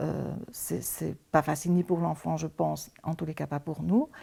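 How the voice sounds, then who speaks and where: A woman speaks at a fairly slow pace on a very clean recording with a silent background. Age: 60s. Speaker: emergency foster carer. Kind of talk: testimony. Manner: halting.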